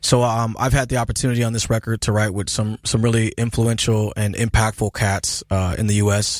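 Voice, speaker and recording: A man at a medium pitch talks with monotone, flat intonation. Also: moderate pace, dry, close sound with no echo, very clean recording, silent background. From US Pacific Northwest, Seattle. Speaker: blues rock musician. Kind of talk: interview. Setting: studio.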